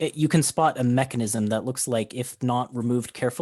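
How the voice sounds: Natural reading voice, its pitch rising and falling in an ordinary way.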